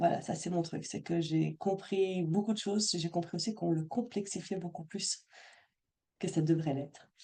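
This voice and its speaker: Her tone is dark and mellow, with a fairly low pitch. The woman talks at a moderate pace with fairly even intonation. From Belgium. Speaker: money mindset coach. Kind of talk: live Zoom workshop talk. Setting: video call. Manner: not always clearly articulated.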